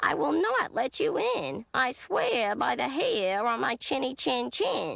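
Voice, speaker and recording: A woman puts on a character voice with a high pitch. She speaks at a fairly slow pace. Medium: read story.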